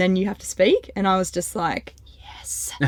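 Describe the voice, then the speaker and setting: Talking at a fairly slow pace, a woman with a medium-pitched voice speaks in an Australian accent. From North Queensland, Australia. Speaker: community manager in financial advice. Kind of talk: casual podcast interview. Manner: animated.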